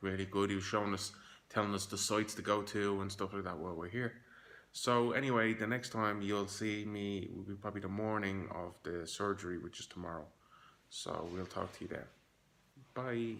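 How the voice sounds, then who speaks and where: A man with a Dublin accent at a fairly quick pace and a fairly low pitch. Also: fairly even intonation. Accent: Irish (Dublin). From Dublin, Ireland. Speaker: hair transplant patient. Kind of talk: casual video diary to camera.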